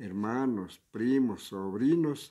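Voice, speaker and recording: A dark, mellow tone comes through on a very clean recording with total silence behind it. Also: man. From Ecuador. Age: 70s. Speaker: retired public servant. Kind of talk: interview. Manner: halting, hesitant with fillers.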